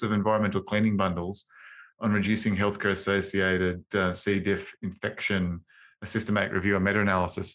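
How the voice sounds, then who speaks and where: A man speaks very fast in a flat monotone, his pitch fairly low. The recording is very clean, with a silent background. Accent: Australian. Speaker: infection control podcast host. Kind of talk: casual professional discussion. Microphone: new upgraded microphone.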